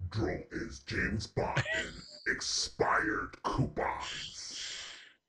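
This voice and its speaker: Very slowly, a man delivers a raspy, put-on character voice. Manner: dramatic announcer.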